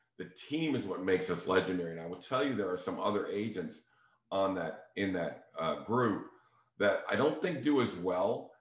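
Over audible room echo, a man with a fairly low pitch talks at a moderate pace with lively intonation. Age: 60s. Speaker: real estate agent. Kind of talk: casual talk to listeners.

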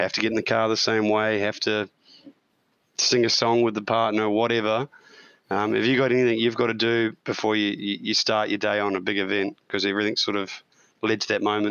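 Speaking with an Australian accent, a man talks at a fairly quick pace in a fairly low pitch. His intonation is monotone and flat, and his loudness stays very even. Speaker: podcast co-host and amateur racing driver. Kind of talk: casual interview.

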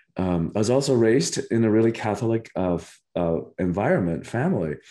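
This man's voice has a dark, mellow tone. He speaks at a moderate pace with lively intonation. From Cuba. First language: Spanish. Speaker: spiritual teacher and author. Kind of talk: interview. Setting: remote call.

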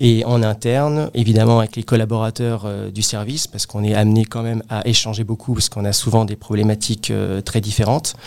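Speaking fairly quickly with hardly any pauses, a man keeps a monotone, flat intonation at a medium pitch. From Paris region, Créteil (Val-de-Marne). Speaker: real estate appraiser and team manager. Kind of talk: interview.

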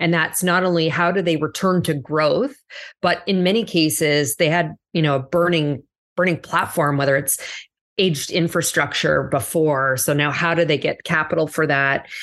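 A woman's very deep, low voice at a moderate pace, very even in loudness, with ordinary pitch variation and a quiet background. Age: 40s. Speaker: corporate executive. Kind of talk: interview.

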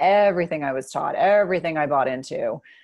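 Against a quiet background, a woman with a fairly low pitch and ordinary pitch variation talks at a fairly quick pace in an unremarkable speaking voice. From New Jersey, US. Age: 40s. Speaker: nurse practitioner. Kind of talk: interview conversation.

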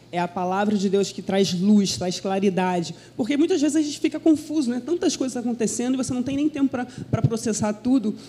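Speaking at a fairly quick pace, a woman with a fairly high pitch and a dark, mellow tone swings her pitch very widely. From Brazil, Minas Gerais (Belo Horizonte). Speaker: pastor's wife, preacher. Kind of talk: sermon. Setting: church.

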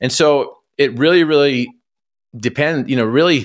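Here is a normal speaking voice with an American accent. It moves at a moderate pace with ordinary pitch variation. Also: man. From Utah, US (Cache Valley). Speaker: paralympic athlete and motivational speaker. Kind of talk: interview.

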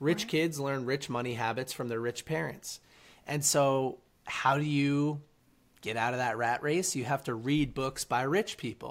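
A man with an ordinary speaking voice speaks at a fairly high pitch and a moderate pace, with ordinary pitch variation, on a very clean recording with a silent background. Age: 20s. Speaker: author and reading platform founder. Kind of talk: interview.

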